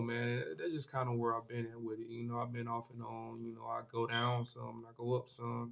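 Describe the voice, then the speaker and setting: A man talks at a fairly quick pace with a medium pitch. Noticeable background noise runs behind him. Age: 20s. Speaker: vlogger. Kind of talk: casual monologue. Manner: casual, halting with fillers.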